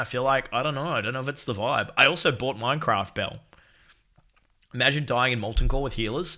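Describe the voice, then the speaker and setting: A man talks loudly in a bright, sharp, animated tone, his pitch varying in an ordinary way. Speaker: video game streamer. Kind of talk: casual chat. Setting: live stream.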